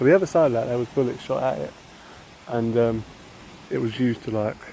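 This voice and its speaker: A man talks with a British accent. Background noise is noticeable. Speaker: vlogger. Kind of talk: casual vlog walk-and-talk. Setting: outdoors at an airfield. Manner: halting, filler-heavy. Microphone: phone recording.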